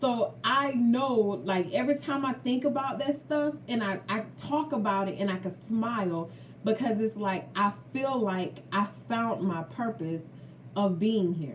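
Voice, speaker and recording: A woman with a fairly high pitch speaks fairly slowly in an animated tone with lively intonation, against noticeable background noise. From Florida. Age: 30s. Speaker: food vlogger. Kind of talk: casual chat; testimony.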